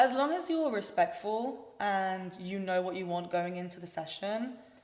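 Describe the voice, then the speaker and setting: In a room with audible echo, a woman with a London accent speaks at a moderate pace, at medium pitch with ordinary pitch variation. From London, England. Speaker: singer-songwriter. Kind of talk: casual chat. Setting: studio.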